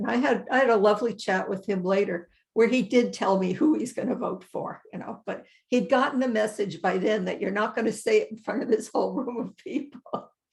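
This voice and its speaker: At a moderate pace, this woman's fairly high voice comes out somewhat breathy, its pitch varying in an ordinary way. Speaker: state voting-rights organization president. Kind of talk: conversational interview answer, webinar. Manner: soft-spoken, thoughtful.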